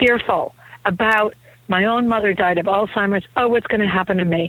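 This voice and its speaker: A woman's medium-pitched voice with ordinary pitch variation, amid noticeable background noise. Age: 60s. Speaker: author. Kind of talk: interview.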